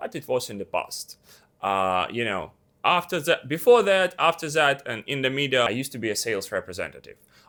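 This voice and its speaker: A man with a non-native accent speaks fairly quickly at a fairly high pitch, his tone bright and sharp with vocal fry. His pitch swings very widely on a very clean recording with a silent background. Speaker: YouTuber, former fashion model. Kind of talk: casual vlog tutorial. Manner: casual, with fillers.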